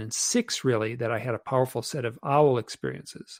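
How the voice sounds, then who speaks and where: A normal speaking voice moves at a fairly quick pace in a very clean recording with a silent background. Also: man, dry, close sound with no echo. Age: 60s. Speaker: author and UFO experiencer. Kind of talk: podcast interview.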